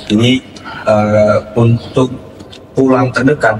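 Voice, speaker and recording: This man's voice has medium pitch and a monotone, flat intonation. Noticeable background noise is present. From West Java (Kuningan), Sundanese. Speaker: student union president. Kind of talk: casual interview. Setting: studio podcast. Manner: hesitant, many fillers.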